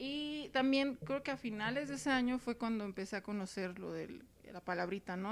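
A woman with an unremarkable speaking voice talks at a moderate pace, her fairly high pitch carried by lively intonation. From Mexicali, Baja California, Mexico. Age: 30s. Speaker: sociologist, polyamory researcher. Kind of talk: casual interview chat.

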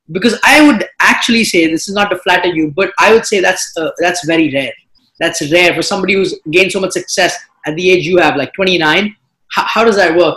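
A man's high-pitched, raised, projected voice, bright and sharp in tone, at a fairly quick pace with ordinary pitch variation. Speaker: podcast host. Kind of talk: casual interview.

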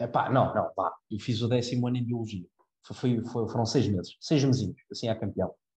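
At a moderate pace, a man talks in a somewhat breathy, medium-pitched voice with fairly even intonation. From Portugal, Cascais. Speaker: university student. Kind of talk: casual chat.

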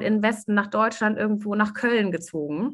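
A woman with a normal speaking voice and a fairly high pitch talks at a fairly quick pace. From Germany. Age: 40s. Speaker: life coach. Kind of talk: interview.

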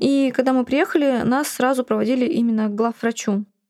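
An unremarkable speaking voice belongs to a woman with a fairly high pitch, ordinary pitch variation and a moderate pace, in a very clean recording with a silent background. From Buryatia, Russia. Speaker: blogger, mother living with HIV. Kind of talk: personal testimony interview.

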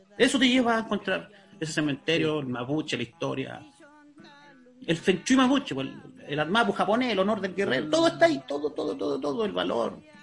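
A man talks at a fairly quick pace with a high pitch and very wide pitch swings. Noticeable background noise runs underneath. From Chile, Talcahuano. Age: 40s. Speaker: researcher of Mapuche culture, fisheries engineer. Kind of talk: interview.

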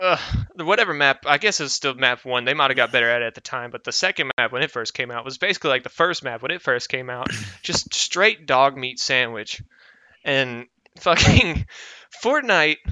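Medium in pitch with ordinary variation, a man with an unremarkable speaking voice keeps a moderate pace. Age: 20s. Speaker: podcast co-host. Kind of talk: casual chat.

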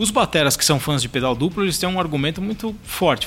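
A man at a very fast pace with lively intonation. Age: 40s. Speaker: drummer and drum teacher. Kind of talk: casual chat.

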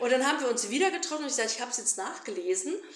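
High-pitched woman's voice with very wide pitch swings, audible room echo and noticeable background noise. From Germany, raised bilingual German-Flemish. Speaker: politician and activist. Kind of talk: interview.

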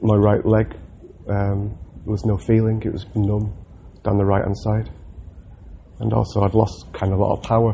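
A man's somewhat breathy, fairly low voice with a Mancunian accent, flat and monotone. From Manchester, England. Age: 30s. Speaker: RAF loadmaster recovering from surgery. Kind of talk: personal audio diary. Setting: hospital room. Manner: halting.

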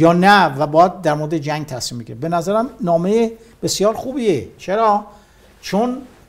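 Pitched high, a man speaks at a moderate pace with lively intonation and big swings in loudness. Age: 60s. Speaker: war veteran. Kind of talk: interview.

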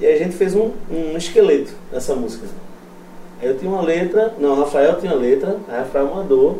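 A man talks fairly quickly in a high voice with ordinary pitch variation. Noticeable background noise runs underneath. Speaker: metal band guitarist. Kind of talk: casual chat. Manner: casual slangy.

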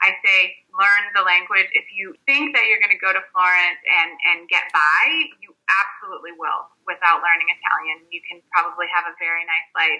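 A woman with an American accent speaks in a normal speaking voice at medium pitch and a moderate pace, with ordinary pitch variation and big swings in loudness. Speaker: tour guide and writer. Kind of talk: casual interview.

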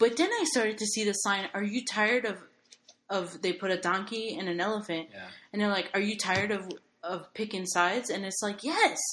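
In an unremarkable speaking voice, a woman talks at a fairly quick pace, her medium pitch varying in an ordinary way. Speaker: podcast host. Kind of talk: casual chat.

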